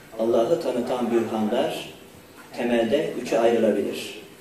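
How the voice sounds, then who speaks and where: A man is speaking over light background noise. Audible room echo surrounds his voice. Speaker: university rector. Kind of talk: formal opening speech. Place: hall. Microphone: podium.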